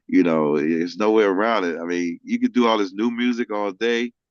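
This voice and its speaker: Fairly quick and fairly low-pitched, a man with an American accent talks in an unremarkable speaking voice with ordinary pitch variation, sounding dry and close with no echo. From Missouri, St. Louis/Kansas City. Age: 60s. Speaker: music industry executive. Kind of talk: casual interview chat.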